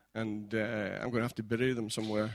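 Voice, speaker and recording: A man is speaking. He has a Scottish accent. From Scotland. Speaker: pastor. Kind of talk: sermon. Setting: church. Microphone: new mic.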